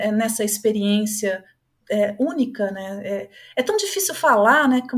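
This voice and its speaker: Very clean recording of a woman, the background silent. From Brazil. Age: 50s. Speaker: psychologist and holistic therapist. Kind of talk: podcast interview.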